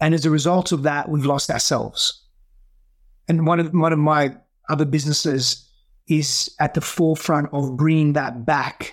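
In a very clean recording with a silent background, a man with an Australian accent speaks at a moderate pace, fairly high in pitch, his intonation fairly even. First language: Greek. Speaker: breathwork and healing coach.

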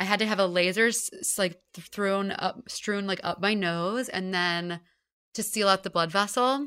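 This woman has a bright, sharp tone and a medium pitch. She talks at a moderate pace in a very clean recording with a silent background. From Texas, Houston. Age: 20s. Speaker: comedian and author. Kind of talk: casual chat. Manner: animated.

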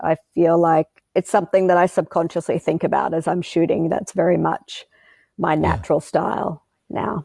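With an Australian accent, a woman speaks at a moderate pace in a fairly low pitch, her dark, mellow tone carrying vocal fry and monotone, flat intonation. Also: dry, close sound with no echo, quiet background. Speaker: wildlife photographer and filmmaker. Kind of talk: interview. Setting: studio.

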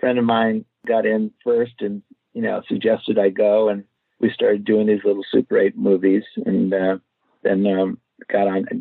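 A man talks with an American accent at a moderate pace. He leaves long, frequent pauses. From Los Angeles, US. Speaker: screenwriter and film director. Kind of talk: interview. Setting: phone or video call.

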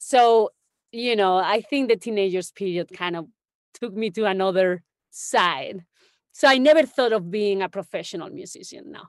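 Speaking with a Spanish accent, a woman uses lively intonation and big swings in loudness. The sound is dry and close with no echo against a quiet background. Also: medium pitch for a woman, moderate pace. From Spain, Extremadura (Don Benito). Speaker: music industry executive. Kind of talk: interview.

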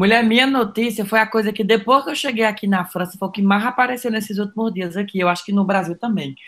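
With a Cearense accent, a man talks very fast with hardly any pauses. His pitch is high, with ordinary variation. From Ceará, Brazil (Cariri). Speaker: comedic social media influencer. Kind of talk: casual chat.

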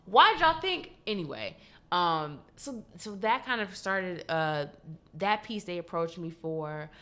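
Her tone bright and sharp, a woman speaks at medium pitch and a fairly slow pace with big swings in loudness. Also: lively intonation. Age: 20s. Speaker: social media creator. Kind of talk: casual chat.

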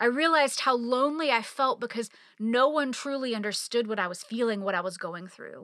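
Delivered at a fairly quick pace, this bright, sharp voice shows big swings in loudness and ordinary pitch variation on a very clean recording with a silent background. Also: woman, high pitch for a woman. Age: 40s. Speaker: faith podcast host. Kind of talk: personal storytelling monologue.

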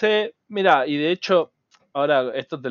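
With lively intonation and a fairly slow pace, a man speaks in an unremarkable speaking voice. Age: 40s. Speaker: cybersecurity entrepreneur. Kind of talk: interview.

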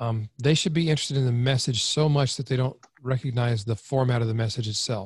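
A somewhat breathy man at a medium pitch, very fast, with fairly even intonation. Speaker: copywriting expert. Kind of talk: interview.

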